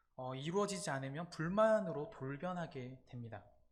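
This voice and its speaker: A somewhat breathy man with lively intonation, speaking at a fairly slow pace amid audible room echo. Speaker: campus ministry preacher. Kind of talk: sermon. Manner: halting, frequent 'uh' fillers.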